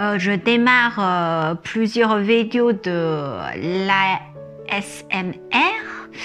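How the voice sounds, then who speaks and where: There is music in the background as a woman talks at a very slow pace. Her pitch shows ordinary variation. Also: medium pitch for a woman. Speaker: image consultant and hypnosis coach. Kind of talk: casual talk to camera, explanatory. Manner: hesitant, many filler words.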